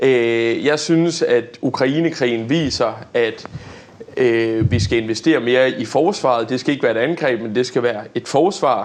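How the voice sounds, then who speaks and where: With ordinary pitch variation, a man speaks at a fairly slow pace as noticeable background noise continues. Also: medium pitch for a man. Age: 20s. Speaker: young politician. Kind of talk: debate. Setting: studio. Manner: hesitant, many fillers.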